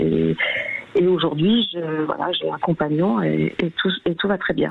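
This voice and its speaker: A woman speaking at a very slow pace and very even loudness, with noticeable background noise. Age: 60s. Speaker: caller sharing testimony. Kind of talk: testimony. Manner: halting.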